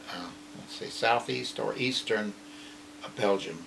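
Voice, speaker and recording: A man speaks very slowly while noticeable background noise carries on underneath. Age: 80s+. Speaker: war veteran. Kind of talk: interview answer. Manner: hesitant, reflective.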